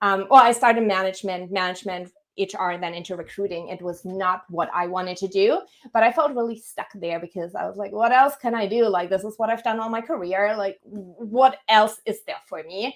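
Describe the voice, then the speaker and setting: A woman talks with a German accent. Her pace is fairly quick. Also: medium pitch for a woman, ordinary pitch variation, big swings in loudness. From Germany. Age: 30s. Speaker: career coach. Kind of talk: podcast interview.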